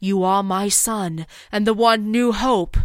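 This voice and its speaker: A female-sounding voice performs a put-on character voice at a medium pitch. The pace is fairly slow. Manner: solemn, insistent, paternal.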